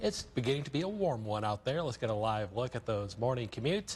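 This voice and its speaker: A man with an American accent speaks at a very fast pace and a medium pitch, somewhat breathy, with lively intonation and very even loudness. The recording is very clean, with a silent background. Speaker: weekday morning TV news anchor. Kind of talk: TV news anchor read. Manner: professional, newsreader delivery.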